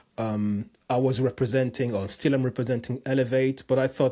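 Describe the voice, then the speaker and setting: Fairly quick and somewhat breathy, a man speaks at a medium pitch with a French accent. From France, Cameroonian parents. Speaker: jump rope coach and personal trainer. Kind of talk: podcast interview. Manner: halting, many repetitions.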